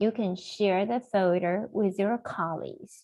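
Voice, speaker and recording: At a very slow pace, a woman speaks in a fairly high voice over a quiet background. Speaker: software trainer. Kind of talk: webinar tutorial. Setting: video call. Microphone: video call.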